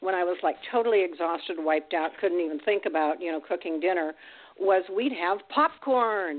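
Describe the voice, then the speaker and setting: A normal speaking voice from a woman, moderately paced, ordinary in pitch variation. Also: fairly low pitch for a woman. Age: 60s. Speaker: grandmother. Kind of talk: casual chat.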